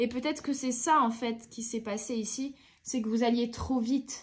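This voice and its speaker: At a moderate pace, a woman speaks with a somewhat breathy voice. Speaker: tarot card reader. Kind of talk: tarot reading. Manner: hesitant with fillers.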